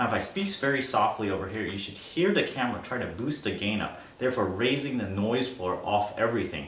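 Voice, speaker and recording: Noticeable background noise and audible room echo surround a voice moving at a fairly quick pace with lively intonation and hardly any pauses. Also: man, medium pitch for a man. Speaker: tech reviewer. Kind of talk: product review. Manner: soft-spoken.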